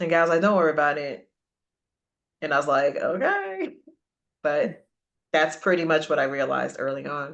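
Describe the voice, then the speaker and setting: Her very deep, low voice moves at a moderate pace with ordinary pitch variation, broken by long, frequent pauses. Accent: American. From western Massachusetts, Springfield. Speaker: radio personality and entrepreneur. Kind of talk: interview.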